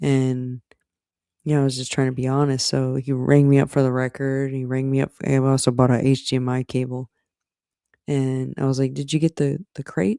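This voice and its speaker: A man talks at a moderate pace and medium pitch, with a dark, mellow tone. His intonation is monotone and flat, and the sound is dry and close with no echo. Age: 40s. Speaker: streamer. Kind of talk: casual chat.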